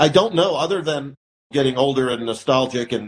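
The speaker has a Midwestern American accent and keeps a moderate pace. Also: man. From St. Louis, Missouri (moved from Iran at six). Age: 50s. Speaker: car dealership owner. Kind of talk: interview.

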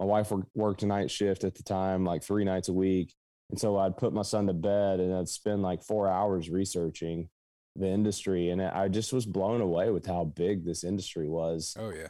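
In an American accent, a man with a very deep, low pitch and a dark, mellow tone speaks at a moderate pace with fairly even intonation on a very clean recording with a silent background. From southeastern Kentucky, Appalachia. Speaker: app founder and CEO. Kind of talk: casual interview.

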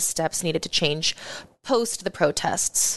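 A woman speaks at a moderate pace. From Omaha, Nebraska, US Midwest. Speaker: community organizer and talk show host. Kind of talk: casual interview.

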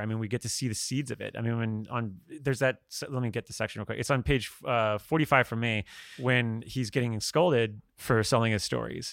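A man speaks at a fairly quick pace with medium pitch and a fairly bright tone. His intonation is fairly even, with some vocal fry.

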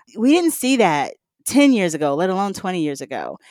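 Recorded very cleanly with a silent background and a dry, close sound with no echo, a woman with a Southern US accent speaks at a medium pitch with very wide pitch swings. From US South, Mississippi. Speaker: environmental advocate and former mayor. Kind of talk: interview.

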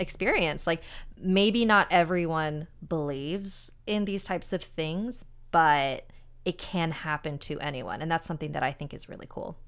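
A woman's ordinary speaking voice at a fairly low pitch, with an American accent, moderate pace and ordinary pitch variation, on a very clean recording with a silent background. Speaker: paranormal podcast host. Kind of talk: casual interview.

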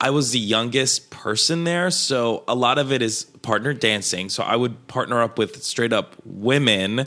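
With a bright, sharp tone, a man speaks at a moderate pace. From Colombia, moved to Queens NY at twelve. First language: Spanish. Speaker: comedian and dancer. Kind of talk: casual chat. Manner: animated.

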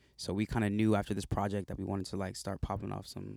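Flat and monotone, a voice with an American accent races at a very fast pace, the sound dry and close with no echo on a very clean recording with a silent background. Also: man. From South Carolina. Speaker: rapper and actor. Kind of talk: casual interview.

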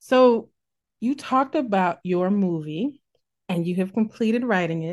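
In an American accent, a woman speaks at a fairly slow pace and medium pitch with an animated tone. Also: lively intonation. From US Midwest. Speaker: podcast host. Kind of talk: interview. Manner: animated, laughs often.

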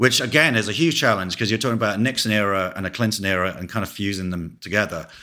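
A man with an English accent, very fast with hardly any pauses, fairly low in pitch with ordinary variation and a bright, sharp tone. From England. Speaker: cinematographer. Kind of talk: interview.

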